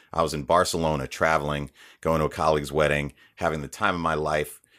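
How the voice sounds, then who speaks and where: Recorded very cleanly against a silent background, a man with a very deep, low pitch speaks at a fairly quick pace. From US, Haitian immigrant family. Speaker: voiceover artist. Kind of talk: interview.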